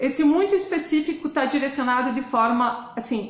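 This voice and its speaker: In a southern Brazilian accent, a woman speaks at a high pitch. Room echo is audible. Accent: gaúcho. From southern Brazil, interior of Rio Grande do Sul. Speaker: hairdresser and hair color educator. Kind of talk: live stream presentation.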